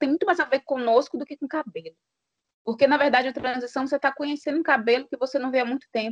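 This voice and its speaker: A woman speaks at a very fast pace and a high pitch, with ordinary pitch variation. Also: dry, close sound with no echo. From Brazil, Minas Gerais (Januária). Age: 30s. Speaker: journalist. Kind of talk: podcast interview.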